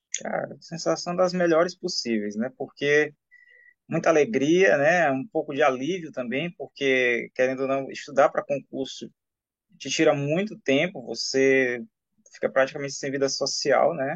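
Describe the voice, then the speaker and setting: Here a man speaks at a fairly slow pace. His voice is fairly high, with ordinary pitch variation. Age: 40s. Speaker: civil servant, exam candidate. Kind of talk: interview. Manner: casual, hesitant fillers.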